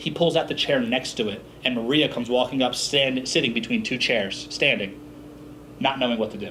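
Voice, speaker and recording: Talking very quickly in an American accent, a man with a mid-range pitch and normal pitch movement is heard over clear background noise. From Philadelphia, US Northeast. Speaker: business speaker. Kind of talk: seminar talk.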